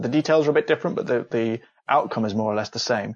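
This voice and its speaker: With an East Midlands accent, a man speaks at a very fast pace and a medium pitch. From England, Leicestershire. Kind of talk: explanatory interview.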